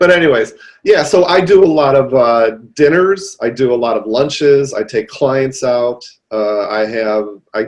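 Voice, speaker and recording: This man talks with a Detroit accent and ordinary pitch variation. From Detroit, US Midwest. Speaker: real estate agent. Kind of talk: podcast interview.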